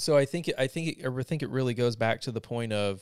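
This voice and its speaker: A man with an American accent and a normal speaking voice speaks at a medium pitch with ordinary pitch variation, in a dry, close sound with no echo on a very clean recording with a silent background. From US South, North Carolina. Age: 30s. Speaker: military veteran. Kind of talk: casual chat.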